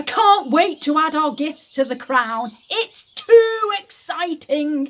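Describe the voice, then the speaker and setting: A woman uses a put-on character voice with a high pitch and very wide pitch swings. She speaks at a fairly slow pace. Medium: read story.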